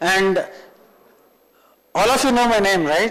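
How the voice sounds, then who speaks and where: A man with a Telugu accent and a high voice, with audible room echo. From northern India (Punjab, Rajasthan). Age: 50s. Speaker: tech trainer. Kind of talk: lecture.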